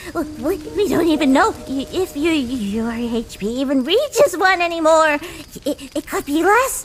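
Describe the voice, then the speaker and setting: A female-sounding put-on character voice at a moderate pace, with clear background noise. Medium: audio drama. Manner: stuttering, nervous.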